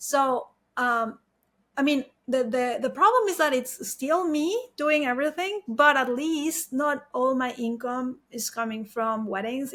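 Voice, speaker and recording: A Mexican accent with ordinary pitch variation. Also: woman. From Mexico. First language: Spanish. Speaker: wedding photographer. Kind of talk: interview.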